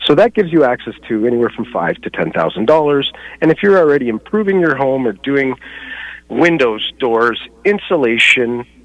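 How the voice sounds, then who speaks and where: A man speaks at a medium pitch, his voice swinging very widely up and down. Noticeable background noise runs under him. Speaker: home inspector and energy advisor. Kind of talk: radio interview. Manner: fast.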